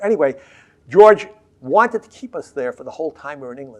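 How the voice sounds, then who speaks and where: A man with an American accent speaks at a very fast pace, his pitch swinging very widely, over noticeable background noise. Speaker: historian, professor emeritus. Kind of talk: oral history interview answer.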